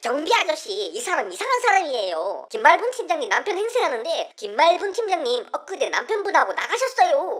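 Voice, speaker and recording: An extremely high-pitched put-on character voice at a fairly quick pace, with hardly any pauses. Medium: audio drama.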